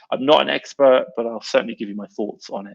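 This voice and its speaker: A fairly quick delivery with an English accent, in a dry, close sound with no echo. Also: man. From England. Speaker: online seller and live-stream host. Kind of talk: live stream chat answering comments. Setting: live stream. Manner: fast; animated.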